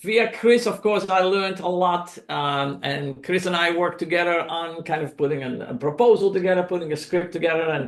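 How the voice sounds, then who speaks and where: In a Dutch accent, a man talks fairly quickly with a high pitch. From Netherlands. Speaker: documentary filmmaker. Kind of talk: presentation to a club meeting. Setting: club meeting, in person and on video call. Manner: hesitant, many fillers.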